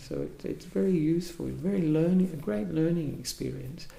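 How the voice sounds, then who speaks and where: Amid noticeable background noise and audible room echo, a man with an Australian accent speaks at a fairly slow pace. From Australia, Perth. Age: 70s. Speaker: Buddhist monk, abbot. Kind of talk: interview. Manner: halting.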